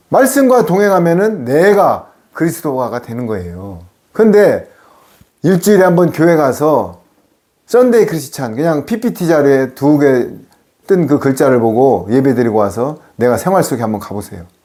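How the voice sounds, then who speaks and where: Amid audible room echo, a man with a fairly high pitch sounds animated, making very wide pitch swings at a moderate pace. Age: 60s. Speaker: pastor. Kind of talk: sermon.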